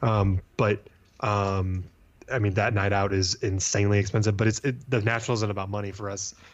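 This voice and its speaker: A man speaks in a normal speaking voice, fairly low in pitch, at a moderate pace. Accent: American. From US Midwest, St. Louis, Missouri. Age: 30s. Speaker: sports card business owner. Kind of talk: casual interview.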